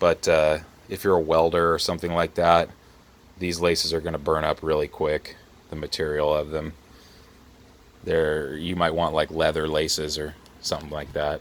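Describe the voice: A man speaks at an extremely low pitch in a monotone, flat intonation. Long pauses come often. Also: moderate pace.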